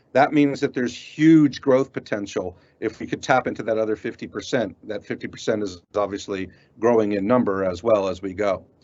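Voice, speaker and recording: Male speech with ordinary pitch variation and an American accent. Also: fairly quick pace. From United States. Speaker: cybersecurity industry representative. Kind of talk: presentation. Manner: halting.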